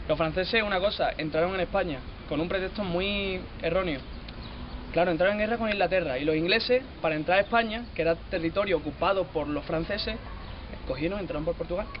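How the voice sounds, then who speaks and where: Over noticeable background noise, a man with a high voice talks very fast with ordinary pitch variation. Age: young. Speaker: interviewee. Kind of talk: street interview. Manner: casual, animated.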